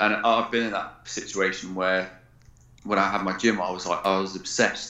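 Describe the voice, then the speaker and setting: A man's fairly low voice with an English accent, flat monotone intonation, a moderate pace and audible room echo. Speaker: military veteran and performance coach. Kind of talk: interview.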